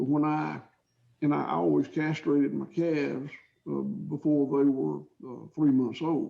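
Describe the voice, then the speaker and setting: This man talks with a Georgia accent. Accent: southern US (Georgia). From US South, south Georgia. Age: 60s. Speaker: cattle farmer. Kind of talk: interview answers. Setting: video call. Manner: halting, repetitive.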